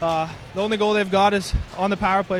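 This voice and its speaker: Over noticeable background noise, a man talks at a very fast pace. His voice is high. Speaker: former hockey player. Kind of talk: casual interview. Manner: halting, filler-heavy.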